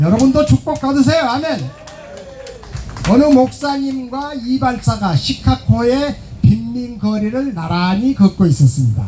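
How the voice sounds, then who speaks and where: A man speaks at a very slow pace with very wide pitch swings and long, frequent pauses, over noticeable background noise. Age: 70s. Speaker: pastor. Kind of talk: sermon. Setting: outdoors.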